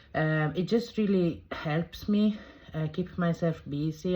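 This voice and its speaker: Somewhat breathy speech moves at a very slow pace with ordinary pitch variation. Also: woman. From southern Italy. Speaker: cooking vlogger. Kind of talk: casual vlog introduction. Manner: halting, many fillers.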